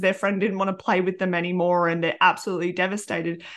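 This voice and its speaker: Against a quiet background, a woman with an Australian accent talks very fast at a medium pitch. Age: 30s. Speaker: podcast host and primary school teacher. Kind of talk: casual chat. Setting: video call.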